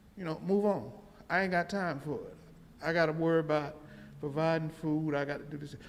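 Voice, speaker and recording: A man's fairly high voice at a fairly quick pace, with fairly even intonation, long, frequent pauses and audible room echo. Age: 60s. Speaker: audience member. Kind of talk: public Q&A comment.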